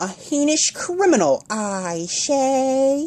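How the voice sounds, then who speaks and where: Squeaky and high-pitched, this put-on character voice moves at a very slow pace. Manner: pompous, accusing.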